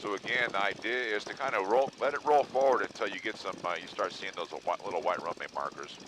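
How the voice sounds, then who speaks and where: A man talks at a fairly quick pace and medium pitch, with ordinary pitch variation and noticeable background noise behind him. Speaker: flight instructor. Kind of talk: in-flight instruction. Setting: airplane cockpit intercom.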